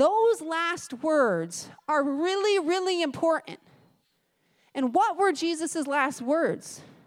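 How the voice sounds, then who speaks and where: At a very slow pace, a woman with an extremely high pitch speaks with lively intonation. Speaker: preacher. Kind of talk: sermon. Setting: church.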